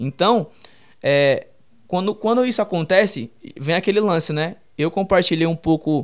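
On a very clean recording with a silent background, a man speaks at a moderate pace with a high pitch and ordinary pitch variation. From Brazil, Perus, São Paulo periphery. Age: 20s. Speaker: streetwear entrepreneur and designer. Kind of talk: casual interview.

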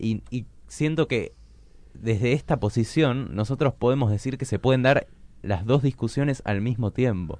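With a Rioplatense accent, a man of medium pitch talks at a fairly slow pace. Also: ordinary pitch variation. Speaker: radio host. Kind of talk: radio interview. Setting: studio.

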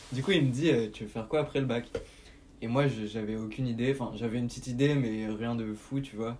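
At a fairly quick pace, a man talks in a medium pitch with fairly even intonation and an ordinary speaking voice. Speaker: podcast host. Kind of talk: scripted narration; casual chat.

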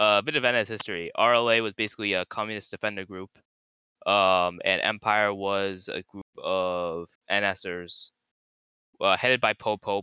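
A man's voice has a bright, sharp tone. The sound is dry and close with no echo, and the background is quiet. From US South. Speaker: podcast host. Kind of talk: casual chat. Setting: online voice chat.

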